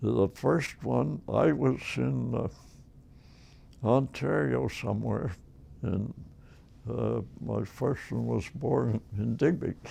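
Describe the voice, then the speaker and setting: A man with a Nova Scotian accent speaks at a very slow pace with long, frequent pauses. His very deep, low voice has vocal fry, a dark, mellow tone and very wide pitch swings. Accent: Nova Scotian Canadian English. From Nova Scotia, Canada. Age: 80s+. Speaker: elderly man recounting his life. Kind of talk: oral history interview. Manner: halting.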